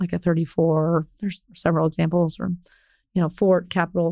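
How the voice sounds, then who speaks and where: In an American accent, an unremarkable speaking voice moves at a moderate pace. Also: woman. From Ohio, US Midwest. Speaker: commercial real estate broker. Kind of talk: interview conversation.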